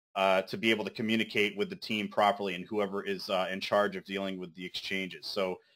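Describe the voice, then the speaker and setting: A man speaks in a fairly low voice with a bright, sharp tone. His intonation stays fairly even. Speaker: crypto project team member. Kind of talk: community meeting update. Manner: fast.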